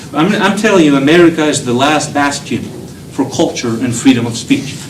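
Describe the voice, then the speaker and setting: Talking fairly quickly at a fairly high pitch with ordinary pitch variation, a man is heard with audible room echo and noticeable background noise. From Belgium. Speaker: professor. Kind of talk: lecture. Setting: lecture hall with students. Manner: animated.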